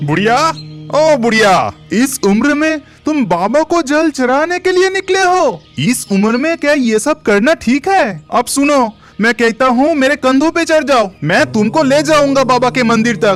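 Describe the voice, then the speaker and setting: Clear music plays in the background. A cartoonish character voice moves along at a moderate pace. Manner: authoritative, kindly.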